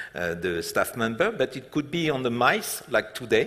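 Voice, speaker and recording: Here a man speaks in a French accent. His intonation is lively. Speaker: hotel group executive. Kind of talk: stage interview. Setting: conference stage with audience. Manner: halting, many fillers.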